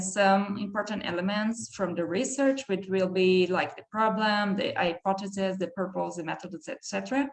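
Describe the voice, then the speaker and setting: Over noticeable background noise, a woman with a medium pitch talks at a moderate pace with ordinary pitch variation and hardly any pauses. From southern Brazil, countryside. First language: German. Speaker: PhD researcher. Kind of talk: academic talk. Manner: halting.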